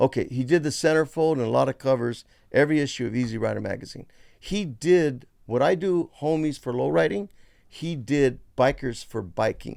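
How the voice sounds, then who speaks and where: With a normal speaking voice, a man talks at a moderate pace and medium pitch with lively intonation in a very clean recording with a silent background. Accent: American. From San Francisco Bay Area, California (Richmond). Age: 60s. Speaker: artist and toy creator. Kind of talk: casual interview chat.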